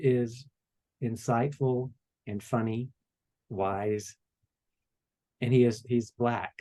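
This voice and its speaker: Speaking at a very slow pace with long, frequent pauses, a man with an American accent keeps a medium pitch, a monotone, flat intonation and a dark, mellow tone. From Warm Springs, Georgia, US. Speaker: author, former stage actor. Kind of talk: interview answer.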